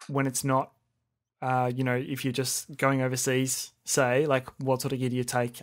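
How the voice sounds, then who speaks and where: This man's intonation is monotone and flat. He talks at a fairly quick pace. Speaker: podcast host, music photographer. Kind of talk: casual interview.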